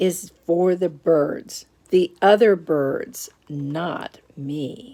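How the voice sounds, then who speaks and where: A woman puts on a character voice at a fairly low pitch. She speaks very slowly. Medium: read story.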